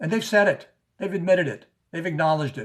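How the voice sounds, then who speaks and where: The man's somewhat breathy voice moves at a moderate pace. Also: quiet background. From US South, New Orleans. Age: 70s. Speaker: activist. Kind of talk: conference speech. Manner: halting, many repeats.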